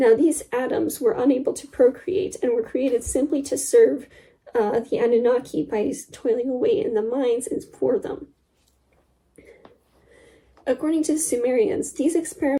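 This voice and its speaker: Using a put-on character voice, a woman talks at a moderate pace with a high, shaky pitch, very wide pitch swings, and long, frequent pauses. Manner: nervous, shaky, as if forced to record.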